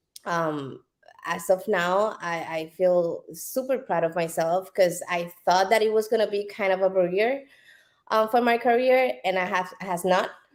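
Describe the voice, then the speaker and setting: A woman speaks with a Puerto Rican accent at a fairly slow pace. Her pitch is medium with ordinary variation, on a very clean recording with a silent background. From Puerto Rico. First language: Spanish. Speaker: business owner. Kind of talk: interview. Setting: live stream. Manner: halting.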